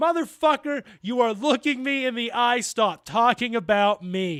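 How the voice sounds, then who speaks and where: A man's put-on character voice, raised and projected, at an extremely high pitch and a moderate pace. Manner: howling, angry.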